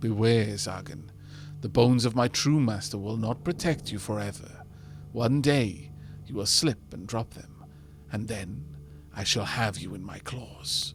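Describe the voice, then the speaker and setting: Through clear background noise, a man does a raspy put-on character voice at a medium pitch and moderate pace, with long, frequent pauses. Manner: menacing, threatening.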